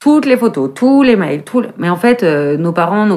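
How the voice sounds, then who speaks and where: A woman speaks at a moderate pace with a medium pitch in a normal speaking voice. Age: 40s. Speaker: fashion journalist and eco-movement co-founder. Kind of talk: casual conversation.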